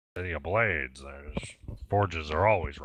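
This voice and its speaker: Putting on a character voice, a man talks at a moderate pace with ordinary pitch variation. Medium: actual play.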